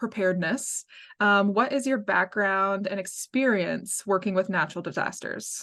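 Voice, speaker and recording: A woman with an American accent speaks in an unremarkable speaking voice at medium pitch. Her pace is moderate, and the background is quiet. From US Midwest, Minnesota. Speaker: podcast host, outdoor writer. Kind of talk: podcast interview.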